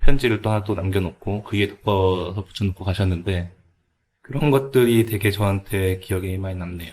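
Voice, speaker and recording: A man talks at a moderate pace. His fairly low pitch shows ordinary variation. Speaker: cafe owner. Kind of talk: podcast interview answer.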